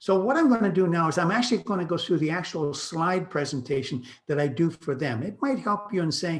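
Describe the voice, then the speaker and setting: This man talks at a fairly quick pace in a fairly high, somewhat breathy voice with lively intonation. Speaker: real estate broker. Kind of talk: presentation. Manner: fast.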